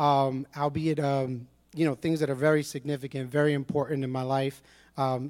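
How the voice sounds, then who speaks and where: Recorded very cleanly against a silent background, a man with a New York accent speaks at a fairly high pitch. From New York City, Brooklyn. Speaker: church member giving testimony. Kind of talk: testimony.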